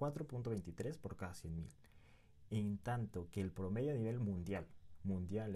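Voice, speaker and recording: Speaking at a very slow pace, the man has a fairly low pitch, a dark, mellow tone and lively intonation. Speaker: podcast host. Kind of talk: interview.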